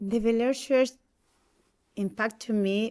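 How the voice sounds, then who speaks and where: A woman with a Spanish accent talks at a fairly slow pace. Her pitch is fairly high, with ordinary variation. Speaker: church member. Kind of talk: testimony. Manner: halting.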